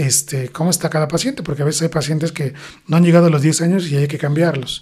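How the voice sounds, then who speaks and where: A man is speaking. His pitch is fairly high. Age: 40s. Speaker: plastic surgeon. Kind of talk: interview. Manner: hesitant fillers.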